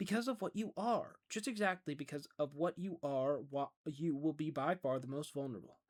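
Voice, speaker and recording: A man does a put-on character voice that is creaky and fairly high in pitch. The intonation is lively and the pace moderate. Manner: soft, grave, warning.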